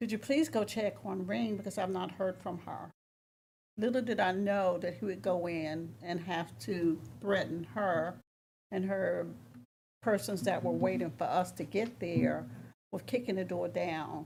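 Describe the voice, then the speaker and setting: Vocal fry runs through lively intonation at a fairly slow pace. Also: woman, fairly low pitch for a woman. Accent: American. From US South. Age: 70s. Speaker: public commenter at town council meeting. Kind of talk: public comment. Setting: council chamber meeting.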